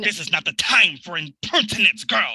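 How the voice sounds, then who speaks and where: Putting on a character voice, a man speaks at a high pitch and a moderate pace. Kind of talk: period nautical stage drama. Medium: stage play. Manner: commanding, blustering.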